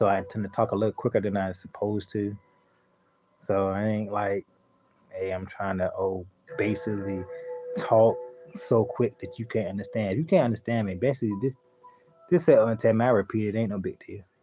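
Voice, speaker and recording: Long, frequent pauses break up this man's fairly quick pace. His pitch is fairly low, with ordinary variation. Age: 30s. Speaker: gaming live streamer. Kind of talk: casual live stream chat. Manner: fast; animated.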